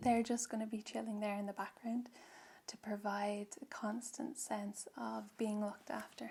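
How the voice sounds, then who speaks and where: A soft-spoken woman in an Irish accent, fairly high in pitch, with a gentle, dark, mellow tone and monotone, flat intonation. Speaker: reiki practitioner. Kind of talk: guided ASMR reiki session. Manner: slow, gentle.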